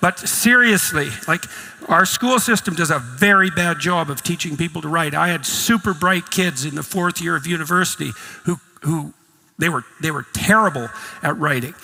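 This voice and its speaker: A man speaks at a moderate pace in a high voice with lively intonation. Music plays in the background. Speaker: psychologist and professor. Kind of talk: lecture talk on philosophy and religion.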